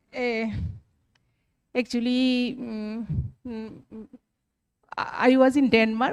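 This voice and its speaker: A woman with a Bengali accent speaks very slowly in a high voice. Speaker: teacher sharing an anecdote. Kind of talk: audience comment in a workshop. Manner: halting, many fillers.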